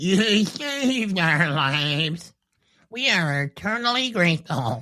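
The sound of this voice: The put-on character voice sits at a middle pitch and moves at a fairly slow pace.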